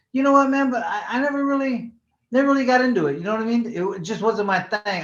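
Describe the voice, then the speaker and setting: This man has an extremely high pitch and an American accent. His intonation is lively. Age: 60s. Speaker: former professional boxer. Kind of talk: interview. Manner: casual, halting with repetitions.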